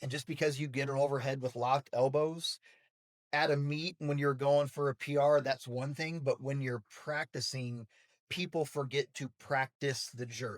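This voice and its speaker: Monotone and flat in intonation, a man with an American accent speaks at a fairly high pitch and a moderate pace, dry and close with no echo on a very clean recording with a silent background. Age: 30s. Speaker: college weightlifting coach. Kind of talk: podcast interview.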